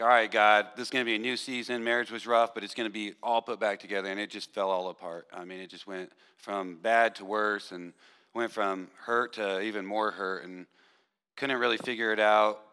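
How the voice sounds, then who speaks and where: A man speaks at a fairly low pitch. His tone is bright and sharp. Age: 40s. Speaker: churchgoer. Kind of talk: testimony. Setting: stage with audience.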